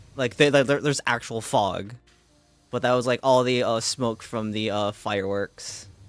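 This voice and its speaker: With music in the background, a man talks at a moderate pace and medium pitch, his intonation fairly even. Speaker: vtuber podcast co-host. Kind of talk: casual chat.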